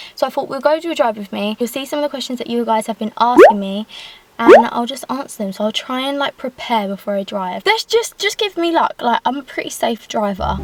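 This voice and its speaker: A woman speaks with an English accent at a high pitch and a fairly quick pace. Her intonation is lively, and there is noticeable background noise. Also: dry, close sound with no echo. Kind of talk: casual talk to camera while driving. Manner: fast; chatty.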